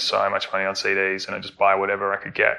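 With an Australian accent, a man talks at a very fast pace. His fairly low voice has a bright, sharp tone. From Melbourne, Australia. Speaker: record label founder. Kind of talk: interview conversation.

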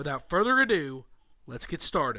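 Projecting his voice, a man speaks with a bright, sharp tone and high pitch at a moderate pace, captured on a very clean recording with a silent background. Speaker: podcast host. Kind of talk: interview.

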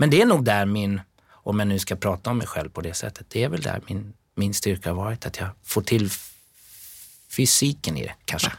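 Recorded very cleanly against a silent background, a man with a plain, everyday voice talks at a moderate pace in a fairly low pitch. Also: ordinary pitch variation. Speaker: dancer and musical performer. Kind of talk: casual interview.

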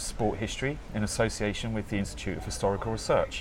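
Speaking in an English accent, a man moves at a fairly quick pace. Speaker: podcast host. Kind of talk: interview conversation.

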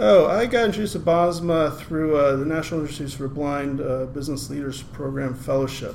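With an American accent, a man talks at a fairly quick pace with hardly any pauses, his fairly high voice showing ordinary pitch variation amid noticeable background noise and audible room echo. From US, Maryland. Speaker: program manager at a nonprofit employing blind people. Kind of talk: podcast interview.

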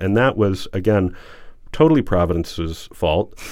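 A man with an American accent speaks at a fairly low pitch with lively intonation. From US South, Alabama (Huntsville). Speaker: writer and public historian. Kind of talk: interview. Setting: studio. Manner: halting.

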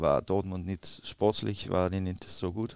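Very clean and silent in the background, the recording captures a man with a very deep, low pitch speaking in a monotone, flat intonation at a moderate pace. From Denmark, Copenhagen area. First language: Danish (speaking German). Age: 40s. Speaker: retired footballer, player agent. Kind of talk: interview. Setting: hotel. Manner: halting.

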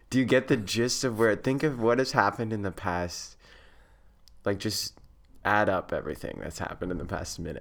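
An ordinary speaking voice with an American accent, a fairly quick pace and ordinary pitch variation, in a very clean recording with a silent background. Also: man, fairly low pitch for a man. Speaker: podcast co-host, student abroad. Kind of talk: casual chat.

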